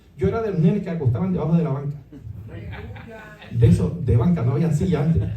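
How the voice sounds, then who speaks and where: With noticeable background noise and audible room echo, a man speaks in a fairly high pitch with lively intonation. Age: 60s. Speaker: pastor. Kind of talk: sermon. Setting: church conference.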